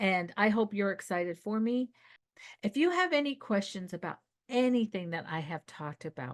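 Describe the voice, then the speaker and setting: With an animated tone and lively intonation, a woman speaks at a moderate pace in a medium pitch against a quiet background. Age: 60s. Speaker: video coach. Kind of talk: casual vlog address to viewers.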